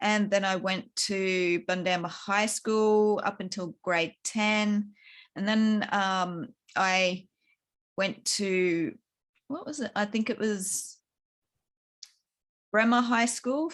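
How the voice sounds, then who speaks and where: Very slow speech from a woman in an Australian accent, medium in pitch, with long, frequent pauses, on a very clean recording with a silent background. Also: ordinary pitch variation. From Queensland, Australia. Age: 40s. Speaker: author. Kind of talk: interview testimony. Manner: halting.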